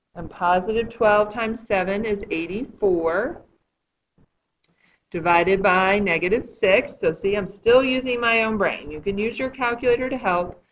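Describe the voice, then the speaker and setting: A woman talks in an ordinary speaking voice at medium pitch. Her pace is moderate and her pitch variation ordinary. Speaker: math teacher. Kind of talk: tutorial.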